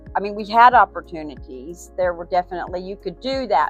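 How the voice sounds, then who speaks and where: Music plays in the background as the voice moves through very wide pitch swings. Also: woman. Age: 60s. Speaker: small business owner. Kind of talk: street interview answer.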